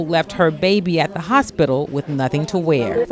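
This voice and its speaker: A woman's fairly low voice with lively intonation and a fairly quick pace, over noticeable background noise. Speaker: reporter. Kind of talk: news feature narration.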